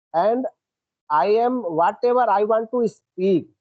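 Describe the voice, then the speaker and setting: A man speaks with an Indian accent and ordinary pitch variation. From India, Uttar Pradesh. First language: Hindi. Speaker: English learner. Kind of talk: casual chat. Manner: halting.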